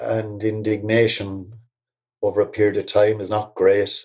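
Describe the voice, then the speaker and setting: A man with a Cork accent speaks at a medium pitch on a very clean recording with a silent background. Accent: Cork Irish. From Ireland, Cork. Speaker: poet. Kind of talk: reflective interview talk. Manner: halting.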